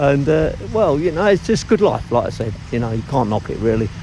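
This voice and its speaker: A man with an Essex accent speaks over noticeable background noise. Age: 60s. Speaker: cockle fisherman. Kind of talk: documentary interview. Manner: talkative.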